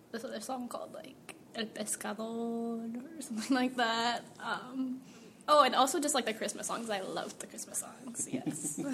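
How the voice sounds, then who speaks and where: Amid audible room echo, a woman with an American accent and a fairly high pitch speaks at a moderate pace, with ordinary pitch variation and big swings in loudness. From US West Coast, Central Valley California. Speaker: college student and church band singer. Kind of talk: interview testimony. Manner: casual with many fillers.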